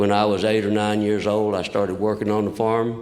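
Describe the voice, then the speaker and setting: A man's fairly low voice with a Southern US accent and audible room echo. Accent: southern drawl. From Kentucky, US South. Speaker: recovering alcoholic speaker. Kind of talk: testimony. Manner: halting.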